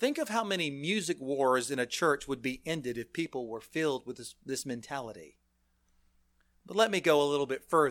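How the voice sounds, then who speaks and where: Over a silent background in a very clean recording, a man with a plain, everyday voice speaks at a fairly quick pace and fairly high pitch, his intonation lively. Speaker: preacher. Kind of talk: sermon. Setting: church.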